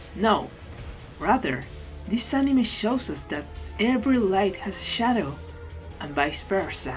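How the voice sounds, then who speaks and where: A fairly slow delivery with very wide pitch swings and long, frequent pauses, over music in the background. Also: woman, medium pitch for a woman. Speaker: anime video essayist. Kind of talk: video essay narration.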